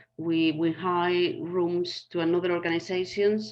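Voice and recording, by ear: Speaking at a fairly slow pace, a woman uses a fairly low voice with little pitch movement.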